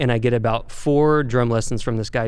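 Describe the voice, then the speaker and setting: Someone with an American accent talks at a fairly quick pace. Audible room echo surrounds the voice. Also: man. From Arkansas, US South. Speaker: touring rock drummer. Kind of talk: casual interview.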